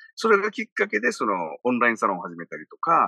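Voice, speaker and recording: A man talks at a very fast pace. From Okinawa, Japan. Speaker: radio personality and business producer. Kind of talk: casual interview.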